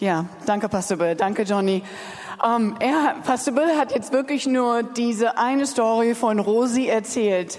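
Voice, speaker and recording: Noticeable background noise sits behind a woman speaking at a fairly slow pace. Her voice is fairly high, with ordinary pitch variation and very even loudness. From Germany, Berlin. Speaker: charity sponsorship coordinator. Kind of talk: announcement. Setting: church.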